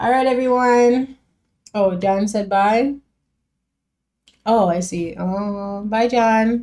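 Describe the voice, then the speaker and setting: At a fairly slow pace, a woman talks in a relaxed, dark and mellow tone with ordinary pitch variation. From Jamaica. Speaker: music reaction streamer. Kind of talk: casual live stream chat. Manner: casual, relaxed.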